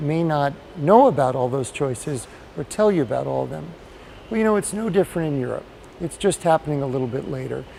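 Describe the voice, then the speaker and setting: At a fairly quick pace, a man with a fairly high pitch speaks in a plain, everyday voice. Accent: American. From United States. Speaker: patient advocate. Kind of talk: interview.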